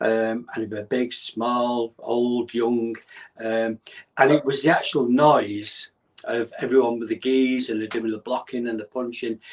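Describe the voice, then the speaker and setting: A man with a Mancunian accent, a medium pitch, monotone, flat intonation and a fairly slow pace. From northern England, North Manchester. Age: 60s. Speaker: bodyguard and karate champion. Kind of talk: podcast interview.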